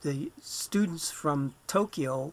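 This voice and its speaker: This is a man speaking. His pitch sits fairly high. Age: 70s. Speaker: author and ladybug enthusiast. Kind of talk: podcast interview. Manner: halting, many fillers.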